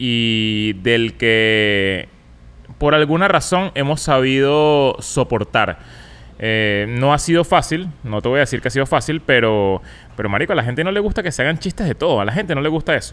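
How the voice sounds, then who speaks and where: A man with a Venezuelan accent talks at a moderate pace. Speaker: comedian and podcaster; comedian, podcaster. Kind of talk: casual chat. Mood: relaxed, joking. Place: studio. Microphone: studio mic.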